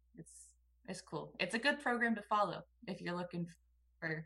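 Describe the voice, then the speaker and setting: A woman with an American accent speaks at a fairly quick pace, her fairly low voice bright and sharp in tone with vocal fry. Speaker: sports podcast co-host. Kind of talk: casual chat. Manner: energetic.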